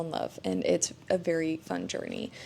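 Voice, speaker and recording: A woman speaks at a moderate pace. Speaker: book reviewer. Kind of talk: casual monthly book wrap-up monologue. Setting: at home, early morning.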